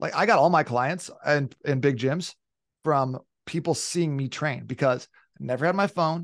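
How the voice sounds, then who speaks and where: An unremarkable speaking voice at a moderate pace with ordinary pitch variation, against a quiet background, with a dry, close sound and no echo. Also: man. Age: 30s. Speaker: fitness coach. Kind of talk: casual chat.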